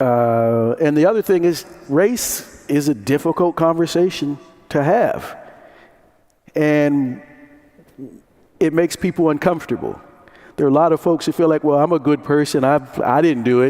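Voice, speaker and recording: This man has an American accent and a fairly high pitch, speaking at a moderate pace with very even loudness. He leaves long, frequent pauses. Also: ordinary pitch variation. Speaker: conference moderator. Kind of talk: conference talk to audience. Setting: conference room with audience.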